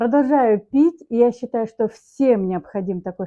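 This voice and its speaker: A woman's dark, mellow voice with lively intonation, dry and close with no echo. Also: quiet background. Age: 60s. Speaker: customer giving a product testimonial. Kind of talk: testimony.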